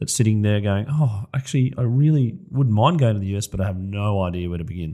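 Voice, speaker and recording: In an Australian accent, a man with a medium pitch speaks at a fairly quick pace. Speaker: podcast host. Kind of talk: podcast interview.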